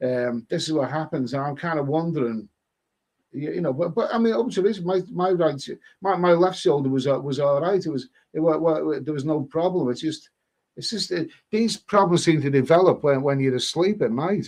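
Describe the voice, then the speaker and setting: Someone with an English accent speaks at a moderate pace with ordinary pitch variation. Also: man, fairly high pitch for a man. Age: 60s. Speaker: live stream host. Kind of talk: casual chat. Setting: live stream. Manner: halting.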